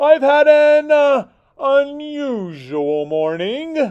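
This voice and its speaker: Someone uses a high-pitched, put-on character voice at a very slow pace. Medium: read story. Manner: polite, slightly flustered.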